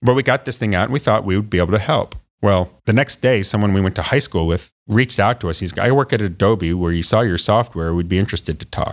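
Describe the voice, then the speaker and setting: Very fast and with hardly any pauses, a man with an American accent and a fairly low pitch speaks with ordinary pitch variation on a very clean recording with a silent background. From northwest Ohio, US Midwest. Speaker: inventor and tech founder. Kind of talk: interview. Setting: studio. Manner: energetic.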